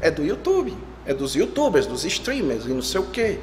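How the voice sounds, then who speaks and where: A man talks with very wide pitch swings. Noticeable background noise and audible room echo surround his voice. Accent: Ceará. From Ceará, northeastern Brazil. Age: 30s. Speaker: pastor. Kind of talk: sermon. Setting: church.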